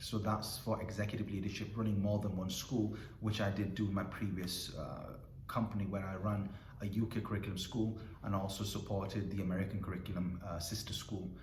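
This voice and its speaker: A man speaks at a fairly quick pace with fairly even intonation and a fairly low pitch. Audible room echo surrounds his voice. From northern England, Bradford (West Yorkshire). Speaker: school principal. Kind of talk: informal talk to students. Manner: hesitant, with repeated words.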